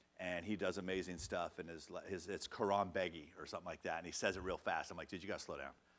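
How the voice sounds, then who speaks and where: Animated and at a very fast pace with hardly any pauses, a man speaks in a very deep, low pitch. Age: 50s. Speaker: music manager and social media coach. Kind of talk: live workshop.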